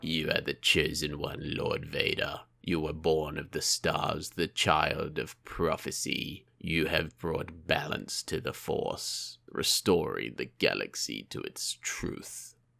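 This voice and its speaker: Putting on a character voice, a man talks at a fairly slow pace with hardly any pauses. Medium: read story. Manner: sinister, coaxing.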